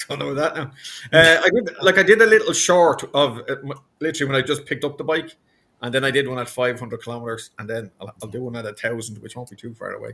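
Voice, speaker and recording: With an Irish accent, a man talks at a very fast pace in a fairly high, bright, sharp voice. His intonation is lively and his loudness swings widely. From Ireland. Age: 70s. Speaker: motorcyclist. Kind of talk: casual chat.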